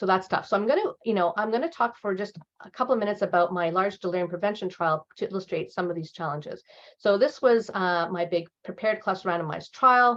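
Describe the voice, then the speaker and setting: A woman races along at a very fast pace, her medium pitch showing ordinary pitch variation. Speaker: professor and researcher. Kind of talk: lecture. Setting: seminar presentation. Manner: halting, many fillers and repetitions.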